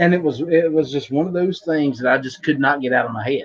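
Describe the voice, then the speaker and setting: A man with a strong West Virginia accent, a fairly high pitch, ordinary pitch variation and a fairly quick pace. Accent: thick West Virginia. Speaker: podcast host. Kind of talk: casual chat. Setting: live online show.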